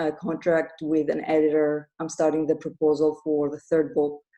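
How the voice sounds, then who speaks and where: A woman with a non-native accent speaks at a moderate pace in a very deep, low pitch with a dark, mellow tone. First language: not English. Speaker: author and grief coach. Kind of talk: interview. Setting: live podcast with audience.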